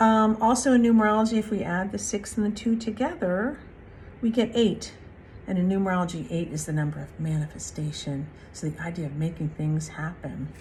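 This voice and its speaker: Somewhat breathy and medium in pitch, this woman's voice moves at a fairly quick pace with lively intonation. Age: 60s. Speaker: spiritual card reader. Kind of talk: spiritual reflection monologue. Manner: casual, with frequent fillers.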